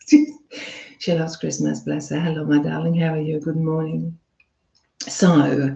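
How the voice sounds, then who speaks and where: At a fairly quick pace, a woman talks in a very deep, low, somewhat breathy voice. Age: 50s. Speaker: relationship coach. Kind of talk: casual chat. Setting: live stream. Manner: chatty, animated.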